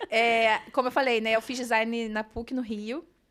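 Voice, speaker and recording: A woman with a bright, sharp tone speaks at a fairly high pitch in a monotone, flat way, captured on a very clean recording with a silent background. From Brazil, Rio de Janeiro state (Nova Friburgo, then Rio). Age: 30s. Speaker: designer and digital entrepreneur, mother. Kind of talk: podcast interview, casual chat.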